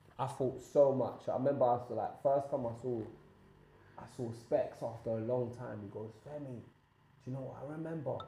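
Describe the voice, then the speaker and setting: Audible room echo surrounds a man speaking at a moderate pace and medium pitch, his loudness swinging widely. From Nigeria (Lagos). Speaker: podcast guest. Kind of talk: casual chat. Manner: animated.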